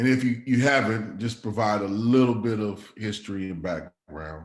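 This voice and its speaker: Fairly low male voice, ordinary pitch variation throughout. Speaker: community organizer and speaker. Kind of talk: talk to a small group. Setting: in person with a group. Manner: halting.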